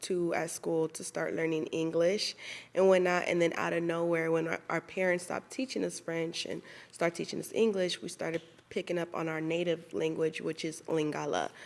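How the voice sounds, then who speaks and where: Speaking at a moderate pace in a normal speaking voice, a woman has an American accent. Her pitch is fairly low and her intonation fairly even. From Atlanta, US. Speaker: singer. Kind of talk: casual chat.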